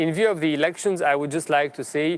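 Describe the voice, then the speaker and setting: Here a man speaks with a Romanian accent. His pitch is fairly high and his intonation fairly even. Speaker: politician. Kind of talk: formal speech at a panel debate. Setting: parliament event.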